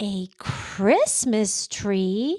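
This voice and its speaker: In a put-on character voice, a female-sounding speaker talks at a medium pitch. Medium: read story.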